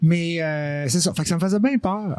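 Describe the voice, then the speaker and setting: With music in the background, a man in a Quebec accent talks at a fairly high pitch with ordinary pitch variation. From Quebec, Lac-Saint-Jean. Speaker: singer. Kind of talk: podcast interview answer.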